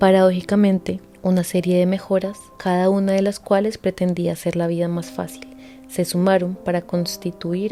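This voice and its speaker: The speech has fairly even intonation, with music in the background. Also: woman. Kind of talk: nonfiction audiobook reading.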